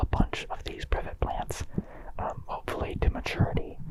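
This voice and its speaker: The speaker is whispering at a fairly quick pace. Noticeable background noise can be heard. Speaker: ASMR creator in fursuit. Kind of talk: ASMR plant tour, casual talk to camera. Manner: whispered, close up; casual, relaxed.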